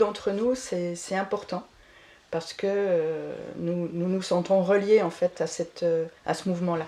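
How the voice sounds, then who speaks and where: Very slow speech with a dark, mellow tone carries fairly even intonation. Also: woman. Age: 70s. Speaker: eco-village resident. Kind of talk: casual interview.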